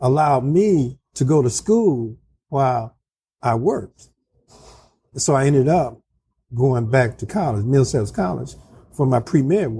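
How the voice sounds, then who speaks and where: A man with a medium pitch and a dark, mellow tone sounds somewhat breathy, his intonation lively. He moves at a fairly slow pace with long, frequent pauses. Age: 60s. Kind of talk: interview. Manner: halting.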